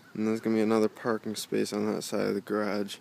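Against light background noise, a man with a plain, everyday voice talks at a fairly low pitch and fairly quick pace, the sound dry with no echo. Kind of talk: casual vlog chat. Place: open country. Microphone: phone near.

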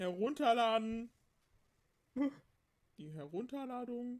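A put-on character voice, female-sounding and fairly high-pitched, delivered at a fairly slow pace. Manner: harsh, scary, shouting.

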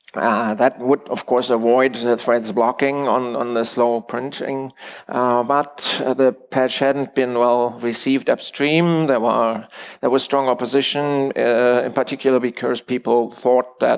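A man's monotone, flat delivery at a fairly slow pace. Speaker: conference presenter. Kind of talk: lecture. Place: hall.

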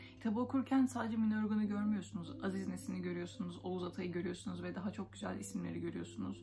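A woman talks at a very fast pace with hardly any pauses. Clear music plays in the background. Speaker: book vlogger. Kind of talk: casual book review chat. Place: home room. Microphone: phone near.

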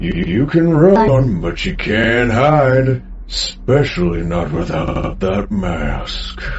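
Over clear background noise, a man speaks very slowly at a medium pitch. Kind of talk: horror game voice line. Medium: machinima. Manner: menacing, taunting.

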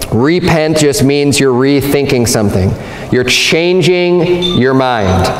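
A man with lively intonation at a fairly slow pace, with audible room echo and music in the background. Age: 40s. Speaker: pastor. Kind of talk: sermon. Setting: church. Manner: earnest, teaching-style pulpit delivery, emphatic and repetitive; conversational, explanatory, with frequent self-restarts. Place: church.

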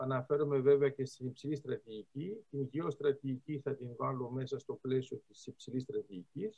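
With a quiet background behind him, a man speaks at a moderate pace and ordinary pitch variation. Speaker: lecturer on geostrategy. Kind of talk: lecture. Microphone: video call.

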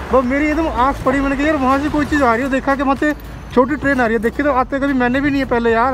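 Backed by music, a man with an extremely high pitch speaks at a fairly quick pace in a flat monotone, with a dry sound and no echo. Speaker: travel vlogger. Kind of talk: casual vlog chat. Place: open country. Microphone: phone near.

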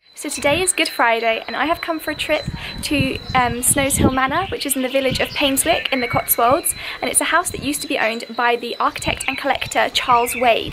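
Loud background noise surrounds a woman's voice. She speaks at a fairly quick pace with ordinary pitch variation. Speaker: travel vlogger. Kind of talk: casual vlog chat. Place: garden. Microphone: phone near.

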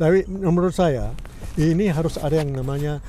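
Heard with light background noise and a dry sound with no echo, a man with a dark, mellow tone speaks at a moderate pace. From Indonesia. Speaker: 1965 political exile, former student association leader; interviewee. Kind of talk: casual interview. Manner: halting.

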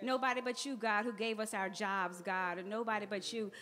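Faint music sits in the background as a woman talks at a moderate pace with ordinary pitch variation. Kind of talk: public prayer. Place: church. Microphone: podium.

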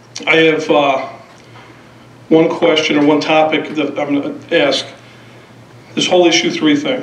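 Audible room echo surrounds a man speaking at a moderate pace in a monotone, flat voice. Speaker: resident giving public comment. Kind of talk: public comment speech. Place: hall. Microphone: podium.

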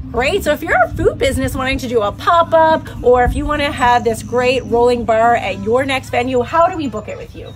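Faint music plays behind a woman's voice. She speaks at a fairly quick pace with big swings in loudness. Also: hardly any pauses. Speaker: interviewer, host. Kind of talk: interview questions, promotional host talk. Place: open country. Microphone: camera far.

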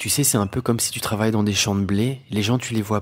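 Delivered at a fairly quick pace, a normal speaking voice carries fairly even intonation. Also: man. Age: 40s. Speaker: spiritual teacher. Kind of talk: personal testimony monologue. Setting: solo audio recording.

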